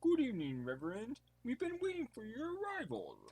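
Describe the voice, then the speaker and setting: Putting on a character voice, a man goes extremely high in pitch with very wide pitch swings at a fairly quick pace. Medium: audio drama. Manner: formal, deferential.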